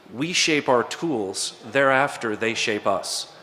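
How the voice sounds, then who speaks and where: A man with an American accent speaks at a medium pitch with ordinary pitch variation over noticeable background noise. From United States. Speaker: conference panelist, software developer. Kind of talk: conference talk. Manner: hesitant with fillers.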